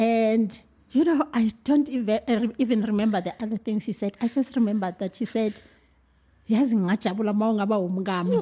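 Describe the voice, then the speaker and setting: A woman speaks at a fairly quick pace with a dark, mellow tone. Her voice is somewhat breathy. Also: fairly high pitch for a woman, ordinary pitch variation. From South Africa, Mpumalanga. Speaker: teacher and mother. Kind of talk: casual chat.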